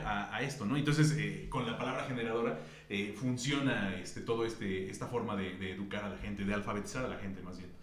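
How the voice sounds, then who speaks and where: At a very fast pace with hardly any pauses, a man speaks at a medium pitch with very wide pitch swings, amid audible room echo and noticeable background noise. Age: 40s. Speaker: writer and editor. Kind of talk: casual chat.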